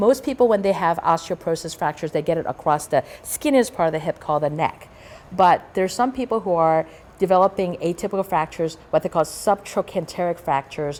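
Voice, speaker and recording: Here a woman speaks with a fairly low voice. Her pace is very fast. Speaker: rheumatologist. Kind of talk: lecture. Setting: stage with audience.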